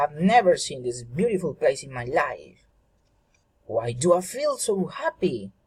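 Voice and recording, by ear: In a put-on character voice, a man talks at a fairly slow pace, fairly high in pitch with big swings, his slightly mellow tone carrying a husky, rough edge.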